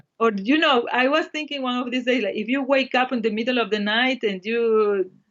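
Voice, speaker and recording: A high-pitched woman with a Spanish accent speaks at a fairly quick pace with ordinary pitch variation. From El Salvador, small town. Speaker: Japanese language teacher. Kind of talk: casual chat.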